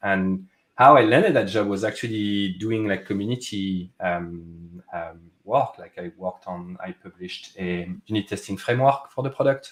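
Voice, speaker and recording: A man speaks with a French accent. His pace is moderate. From France. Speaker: software product manager. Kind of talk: casual interview chat. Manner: many fillers and restarts.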